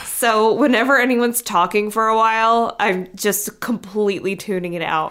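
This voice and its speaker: A woman with an unremarkable speaking voice, fairly high pitch and fairly even intonation, at a moderate pace with hardly any pauses. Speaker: podcast host.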